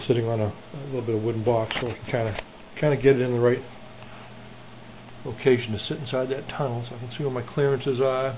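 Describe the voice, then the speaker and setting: A man talks at a fairly quick pace in a flat monotone. Light background noise sits behind him. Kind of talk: casual build walkthrough. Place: garage. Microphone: phone near.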